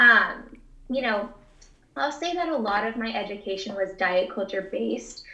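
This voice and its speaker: A woman with an American accent, fairly high in pitch, at a moderate pace, with audible room echo and noticeable background noise. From Texas (Houston). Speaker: dietitian. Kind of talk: interview answers.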